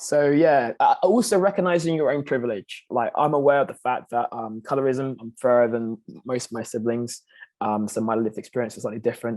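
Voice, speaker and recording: Speaking fairly quickly, this man's medium-pitched voice rises and falls with ordinary variation. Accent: British. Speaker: panelist. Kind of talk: panel discussion.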